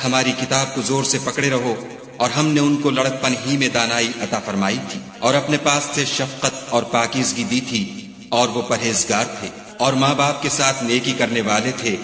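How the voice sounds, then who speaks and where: A man's medium-pitched voice, with fairly even intonation, comes through noticeable background noise. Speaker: Quran translation narrator. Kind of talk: religious scripture reading.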